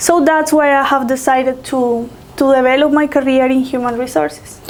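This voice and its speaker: A woman's high-pitched voice at a moderate pace, very even in loudness, with fairly even intonation and noticeable background noise. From Colombia. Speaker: HR professional. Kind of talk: interview.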